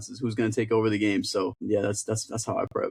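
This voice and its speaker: A man's somewhat breathy, fairly low voice at a very fast pace, monotone and flat, dry and close with no echo. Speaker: sports broadcaster. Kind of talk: casual sports podcast talk.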